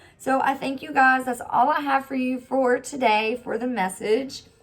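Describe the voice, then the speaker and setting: A woman speaks at a fairly slow pace while music plays in the background. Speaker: tarot reader. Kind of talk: tarot card reading.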